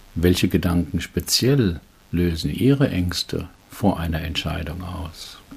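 Very slow, somewhat breathy speech from a man with a very deep, low pitch and ordinary pitch variation. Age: 70s. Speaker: executive trainer and coach. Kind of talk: reading aloud a case report.

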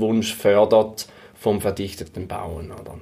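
A man's medium-pitched voice at a fairly slow pace, monotone and flat. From St. Gallen, eastern Switzerland. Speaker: real estate investor and fiduciary advisor. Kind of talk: interview. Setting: in person in St. Gallen. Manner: halting, many fillers and repetitions.

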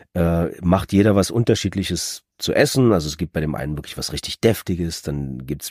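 With a very deep, low pitch and a dark, mellow tone, a man speaks at a moderate pace with lively intonation, in a dry, close sound with no echo. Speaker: audiobook narrator. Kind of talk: casual chat.

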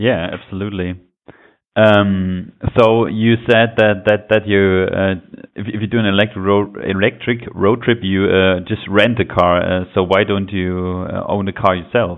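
A man with a German accent speaks slowly enough to count as fairly slow, in a fairly low pitch with monotone, flat intonation. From Germany. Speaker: podcast host. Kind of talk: interview. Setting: phone call.

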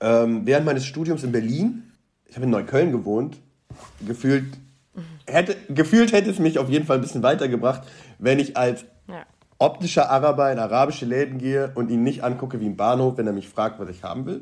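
A man talks at a fairly quick pace and medium pitch, with ordinary pitch variation, big swings in loudness and long, frequent pauses. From Bonn, western Germany. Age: 30s. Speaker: news editor. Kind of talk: casual interview.

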